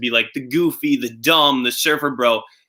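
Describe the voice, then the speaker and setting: Speaking with a Long Island accent, a man keeps a fairly slow pace and fairly even intonation. His tone comes across bright and sharp. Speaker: reality show winner. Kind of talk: casual chat.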